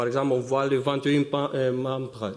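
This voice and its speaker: In a room with audible echo and noticeable background noise, a man with a non-native accent talks at a moderate pace and a medium pitch. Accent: noticeable foreign accent in French. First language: not French (speaking French). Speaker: synchrotron business development scientist. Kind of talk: conference talk. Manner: halting, many hesitations.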